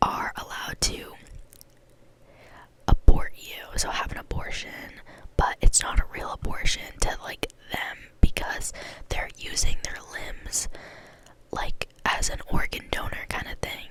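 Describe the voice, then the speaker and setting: Whispering at a fairly slow pace, a woman leaves long, frequent pauses and her loudness swings widely, with noticeable background noise behind her. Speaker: ASMR creator. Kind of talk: casual talk to camera. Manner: soft-spoken, slow, soothing.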